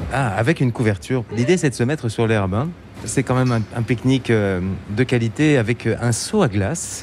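A man with a slight Germanic accent speaks at medium pitch and a moderate pace. His loudness stays very even, with ordinary pitch variation. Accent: slight Germanic-tinged French pronunciation. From eastern France near German border. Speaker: travel radio host. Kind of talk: interview; scripted narration.

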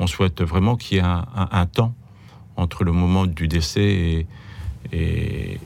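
A man's very deep, low voice holds a fairly even intonation amid noticeable background noise. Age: 60s. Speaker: geriatric doctor. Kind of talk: interview. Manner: halting, repeats words.

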